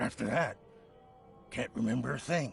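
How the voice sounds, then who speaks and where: A man speaks in a raspy, put-on character voice. Clear music plays in the background. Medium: video game. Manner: bitter, defensive.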